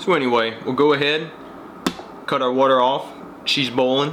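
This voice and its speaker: Noticeable background noise runs beneath the recording. A man talks in a relaxed tone. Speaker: coffee channel host. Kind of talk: casual tutorial talk to camera. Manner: relaxed, chatty.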